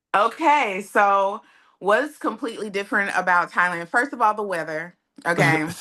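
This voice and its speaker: An American woman speaks in a bright, sharp tone at medium pitch and a moderate pace, with lively intonation, against a quiet background. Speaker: expat interviewee. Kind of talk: interview.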